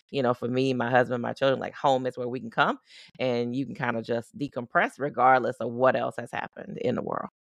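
With a dry, close sound and no echo, a woman speaks at a very deep, low pitch with fairly even intonation. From US South, Baton Rouge, Louisiana. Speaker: psychiatrist. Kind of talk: casual interview.

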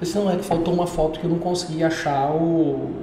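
There's audible room echo and noticeable background noise. A man speaks at a fairly quick clip. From Brazil, Goiânia. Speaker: entrepreneur. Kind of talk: casual interview.

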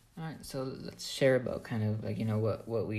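A man at a moderate pace, with audible room echo. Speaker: podcast co-host, database reporting worker. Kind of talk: casual chat.

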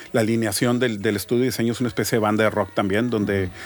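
A man is talking. Fairly even intonation runs through his speech. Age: 40s. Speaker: graphic designer. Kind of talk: casual interview.

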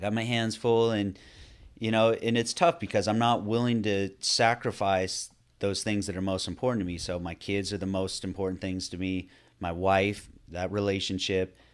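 This is a plain, everyday voice with an American accent. It moves at a moderate pace with fairly even intonation. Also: man, fairly low pitch for a man, very clean recording, silent background. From Northern California. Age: 40s. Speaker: podcast host, fitness coach. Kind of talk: casual chat.

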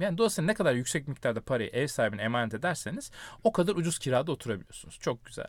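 A man talks at a very fast pace with a fairly high pitch and very wide pitch swings. The recording is very clean with a silent background. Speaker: academic podcast host. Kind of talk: casual chat. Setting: recording inside a wardrobe.

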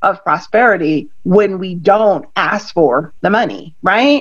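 A woman's animated, upbeat tone at medium pitch and a fairly slow pace. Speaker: podcast host and attorney. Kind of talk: casual interview chat.

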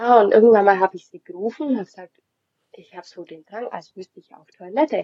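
A woman at medium pitch, talking very fast with ordinary pitch variation and big swings in loudness. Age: 20s. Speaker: mother sharing birth experience. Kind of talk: testimony.

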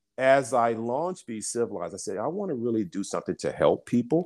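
A man's medium-pitched, plain, everyday voice with an American accent, at a moderate pace, with ordinary pitch variation, on a very clean recording with a silent background. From US South, Birmingham, Alabama. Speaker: business founder and CEO. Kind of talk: interview conversation.

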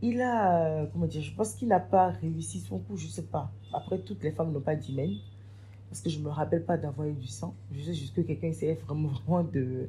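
Over music in the background, a woman talks fairly quickly in a very deep, low voice, her pitch swinging very widely. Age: 20s. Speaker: event planner. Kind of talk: testimony.

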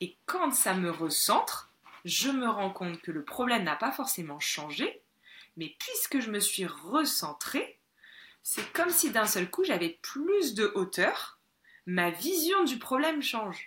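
A woman's very slow speech with very wide swings in pitch. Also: fairly high pitch for a woman. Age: 30s. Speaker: spiritual teacher and retreat leader. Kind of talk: interview conversation.

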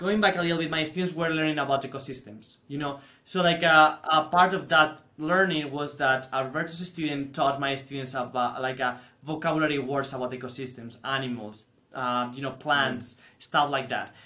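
A man's fairly high, bright, sharp voice in a Spanish accent, fairly even in intonation and fairly quick in pace. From Spain. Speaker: teacher. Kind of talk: casual chat.

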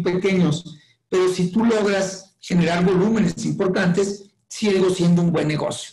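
At a moderate pace, a man speaks in a high, monotone voice with flat intonation. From Mexico, Chihuahua. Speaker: company executive. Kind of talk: interview.

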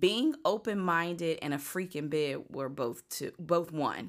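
A woman with an American accent, fairly low in pitch, very slow in pace and lively in intonation, on a very clean recording with a silent background. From rural southern Virginia, near Lynchburg. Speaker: podcast co-guest. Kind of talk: casual chat.

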